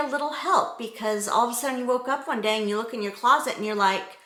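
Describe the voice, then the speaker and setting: The voice shows ordinary pitch variation. Noticeable background noise runs underneath. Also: woman. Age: 50s. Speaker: fashion vlogger. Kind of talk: casual style tutorial. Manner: chatty, rambling asides.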